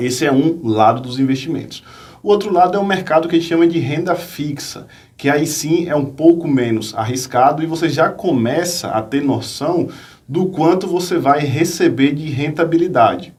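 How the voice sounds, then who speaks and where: The speaker talks in a Bahian accent. Audible room echo fills the recording. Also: man, fairly high pitch for a man, ordinary pitch variation, moderate pace. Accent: Bahian Brazilian Portuguese, noticeable. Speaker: finance professor and investor. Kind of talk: interview on investing.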